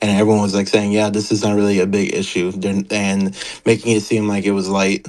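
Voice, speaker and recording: Talking at a fairly quick pace, a man with a fairly low pitch keeps a monotone, flat intonation. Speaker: former server moderator. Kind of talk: interview. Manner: halting, with many fillers.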